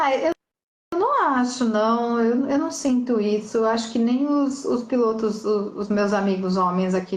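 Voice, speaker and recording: Fairly high-pitched and somewhat breathy, a woman speaks at a fairly slow pace with lively intonation, and audible room echo surrounds her voice. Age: 40s. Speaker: motorcycle rally racer. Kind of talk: casual interview chat.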